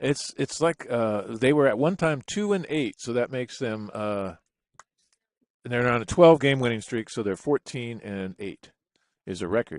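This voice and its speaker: Speaking at a moderate pace with lively intonation, a man with a normal speaking voice and medium pitch comes through in a dry, close sound with no echo. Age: 60s. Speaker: sports commentator. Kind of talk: live commentary.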